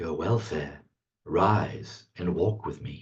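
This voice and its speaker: In a put-on character voice, a man speaks very slowly with a calm, solemn tone at a very deep, low pitch. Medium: read story.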